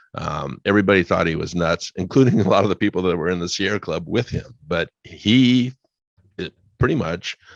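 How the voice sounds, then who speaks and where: With an American accent, a man with a very deep, low pitch speaks at a fairly quick pace and ordinary pitch variation, his sound dry and close with no echo. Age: 70s. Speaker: retired utility worker, solar business owner. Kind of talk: radio interview.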